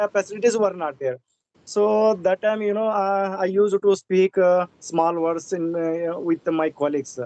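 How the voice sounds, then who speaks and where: Dark, mellow tone in a dry, close sound with no echo. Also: man, high pitch for a man, ordinary pitch variation, moderate pace. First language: Indian regional language. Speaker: English learner, government employee. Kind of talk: casual conversation practice. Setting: video call. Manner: halting, many fillers.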